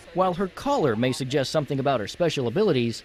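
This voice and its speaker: A man's voice with very wide pitch swings, amid noticeable background noise. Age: young. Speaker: TV news reporter. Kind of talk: TV news report.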